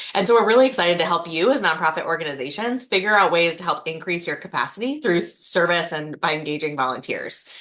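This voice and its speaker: Over noticeable background noise, a woman with a fairly low pitch talks at a very fast pace, with lively intonation and hardly any pauses. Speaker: state service program manager. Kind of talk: presentation. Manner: fast when excited.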